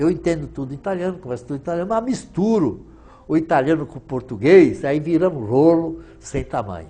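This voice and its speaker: Here a man with a fairly high pitch and a dark, mellow tone talks with lively intonation and big swings in loudness. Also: fairly quick pace. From southern Brazil, Rio Grande do Sul, Italian colony. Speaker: businessman, former trade association president. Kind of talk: interview.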